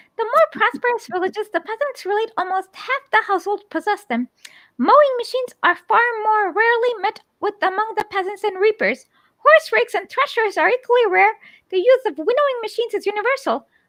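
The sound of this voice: A woman puts on a squeaky character voice at an extremely high pitch, talking at a fairly quick pace. The sound is dry and close, with no echo. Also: lively intonation.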